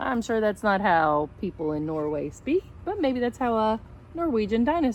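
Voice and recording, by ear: Someone reads aloud, using a natural voice.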